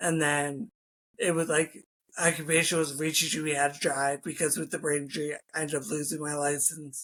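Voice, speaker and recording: A fairly high-pitched man with a Philadelphia accent, a bright, sharp tone, fairly even intonation, and a fairly quick pace. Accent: Philadelphia-area American. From US, Philadelphia suburbs. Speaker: former strength and conditioning coach, trauma survivor. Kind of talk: interview.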